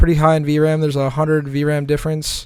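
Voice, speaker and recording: On a very clean recording with a silent background, a man speaks fairly quickly at a fairly high pitch in an animated tone. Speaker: gaming streamer. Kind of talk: tutorial. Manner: fast; casual, animated.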